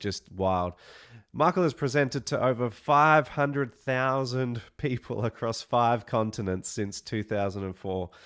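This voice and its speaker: A man speaks fairly slowly with an Australian accent. His pitch is medium, with ordinary variation. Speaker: webinar host. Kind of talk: online event hosting.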